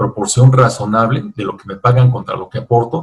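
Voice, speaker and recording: A man's medium-pitched, somewhat breathy voice. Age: 60s. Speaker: author and business lecturer. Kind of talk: virtual book fair talk.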